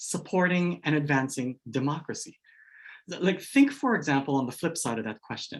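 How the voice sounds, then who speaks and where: A man speaks with a slight Hawaii accent. His intonation is lively. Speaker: education scholar, keynote speaker. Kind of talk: keynote lecture.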